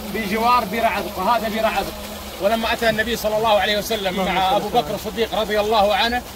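A man's high-pitched voice, monotone and flat, at a moderate pace, dry with no echo but with noticeable background noise. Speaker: local guide. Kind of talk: guided tour explanation. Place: garden. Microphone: phone near.

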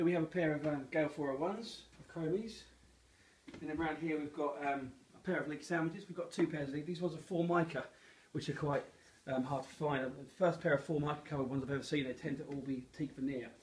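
Light background noise accompanies a man talking at a very fast pace. His intonation stays fairly even. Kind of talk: casual product walk-round commentary. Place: shop. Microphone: phone near.

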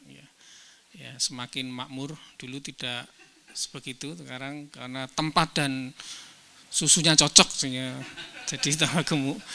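Over light background noise, the speaker goes at a fairly slow pace with fairly even intonation and long, frequent pauses. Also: man. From Indonesia. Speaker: professor, seminar speaker. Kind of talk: academic presentation. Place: hall. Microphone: handheld.

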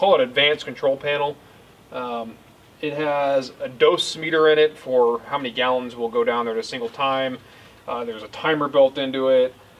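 A man keeps his intonation fairly even while talking at a fairly quick pace. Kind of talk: tutorial. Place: street. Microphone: camera far.

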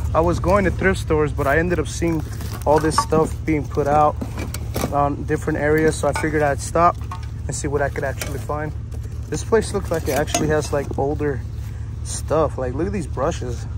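Speech at a fairly quick pace comes through a dry sound with no echo and noticeable background noise. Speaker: resale picker vlogger. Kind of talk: casual vlog chat. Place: street. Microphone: phone near.

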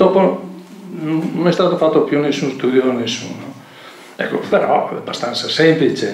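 A man speaks with long, frequent pauses, and audible room echo surrounds his voice. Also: ordinary pitch variation, moderate pace. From northern Italy (Veneto). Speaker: local historian and archaeology association president; speaker. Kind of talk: public lecture. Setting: stage with audience. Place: hall. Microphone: camera far.

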